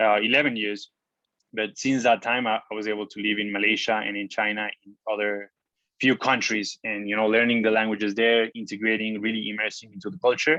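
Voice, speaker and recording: With a Spanish accent, the speaker talks at a fairly quick pace in a bright, sharp tone with flat, monotone intonation and big swings in loudness. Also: man, fairly low pitch for a man, dry, close sound with no echo. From Mexico. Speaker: online entrepreneur and traveler. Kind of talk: interview. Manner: casual, with many fillers.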